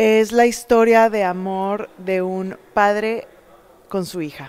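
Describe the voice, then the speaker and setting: A woman speaks with ordinary pitch variation. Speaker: actress in a play. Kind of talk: interview answer. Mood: warm, cheerful. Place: hall. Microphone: handheld.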